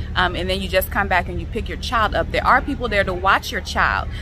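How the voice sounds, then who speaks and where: A woman is speaking with faint music in the background. The sound is dry, with no echo. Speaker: vlogger reviewing a restaurant. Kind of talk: casual vlog chat. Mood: critical, mildly exasperated. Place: garden. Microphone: phone near.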